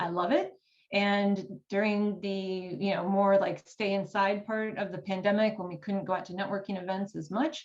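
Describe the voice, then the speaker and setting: In an American accent, a woman uses an ordinary speaking voice at medium pitch and a fairly quick pace. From United States. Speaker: writing coach. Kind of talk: workshop presentation.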